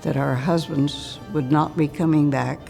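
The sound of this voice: Faint music plays in the background. The speaker uses a dark, mellow tone with vocal fry, fairly even intonation and a fairly slow pace. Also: woman.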